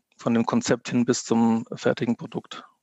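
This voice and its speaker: A man speaks at medium pitch in monotone, flat intonation. His pace is moderate, and the sound is dry and close with no echo. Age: 20s. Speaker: app founder, former bank employee. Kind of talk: interview. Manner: hesitant, many filler sounds.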